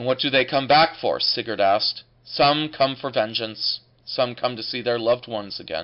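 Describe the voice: Here is plain reading aloud with ordinary pitch variation.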